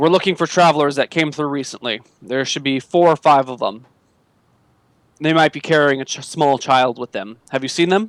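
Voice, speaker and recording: Putting on a character voice, a man sounds gruff and stern, fairly high in pitch, at a moderate pace. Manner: stern, questioning.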